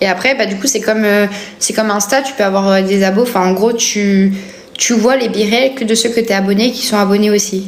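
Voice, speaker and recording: A woman at medium pitch with fairly even intonation and a fairly quick pace, with audible room echo and noticeable background noise. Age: 20s. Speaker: live streamer. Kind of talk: casual chat. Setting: livestream. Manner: hesitant, filler-heavy.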